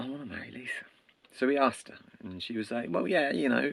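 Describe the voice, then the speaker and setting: A man with an English accent speaks at a very fast pace. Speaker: storyteller. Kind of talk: casual oral storytelling. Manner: animated; conversational.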